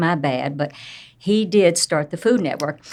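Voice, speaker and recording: A woman with a Southern US accent talks at a moderate pace with ordinary pitch variation. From US South, Tennessee. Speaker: entrepreneur and speaker. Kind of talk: interview storytelling.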